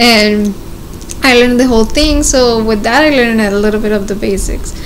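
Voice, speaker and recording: A woman speaks at a moderate pace with a Mexican accent, her pitch fairly high. Her intonation stays fairly even over light background noise. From Mexico. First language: Spanish. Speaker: nurse. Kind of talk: casual interview. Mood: relaxed, reminiscing. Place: home room. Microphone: studio mic.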